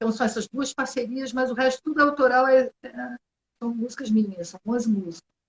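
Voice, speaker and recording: A woman's plain, everyday voice at a fairly quick pace, with ordinary pitch variation and a dry, close sound with no echo. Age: 60s. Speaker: singer-songwriter. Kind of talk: interview. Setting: video call.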